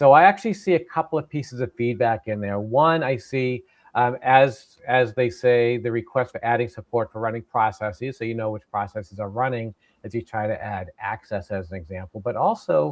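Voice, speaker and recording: The speaker has an American accent. Pitch varies in an ordinary way. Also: man, medium pitch for a man, big swings in loudness. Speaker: tech session host. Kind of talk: live webinar Q&A.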